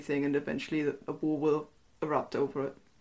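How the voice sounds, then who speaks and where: A woman with a German accent speaks at a very deep, low pitch and a fairly quick pace over a quiet background. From East Germany. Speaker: historian and author. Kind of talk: interview.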